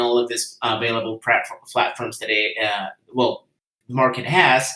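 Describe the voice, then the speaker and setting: Fairly slow speech from a man in a Spanish accent, medium in pitch. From Guatemala. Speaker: entrepreneur and engineer. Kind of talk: presentation. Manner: halting, many fillers.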